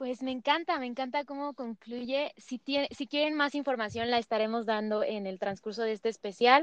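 In a dry, close sound with no echo, a woman with a high pitch talks at a moderate pace with ordinary pitch variation and hardly any pauses. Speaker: podcast host. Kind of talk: interview.

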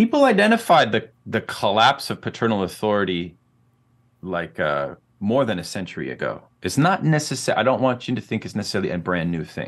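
With an American accent, a man talks at a fairly quick pace. His fairly low voice swings very widely in pitch. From US Pacific Northwest, Oregon. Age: 40s. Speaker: professor and philosopher. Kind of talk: interview on psychoanalysis and politics. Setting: video call.

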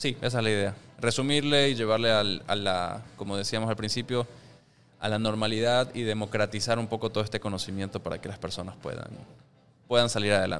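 A man talks at a fairly quick pace in a plain, everyday voice. His pitch is fairly low and his intonation fairly even. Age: 30s. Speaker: personal finance educator and podcaster. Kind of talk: casual interview chat. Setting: rooftop venue.

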